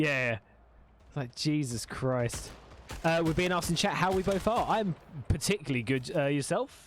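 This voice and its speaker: A man with an Essex accent, fairly high-pitched, lively intonation, moderate pace, long and frequent pauses. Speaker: gaming streamer and interviewer. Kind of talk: casual chat while gaming.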